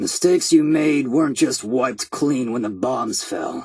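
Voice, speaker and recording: In a put-on character voice, a man sounds raspy and speaks at a fairly slow pace. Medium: video game. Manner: sardonic, dry humor.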